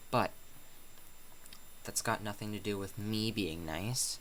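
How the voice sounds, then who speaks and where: Soft-spoken and fairly slow, a man talks with ordinary pitch variation. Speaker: YouTuber. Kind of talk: casual vlog monologue. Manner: quiet, soft-spoken; halting, many fillers.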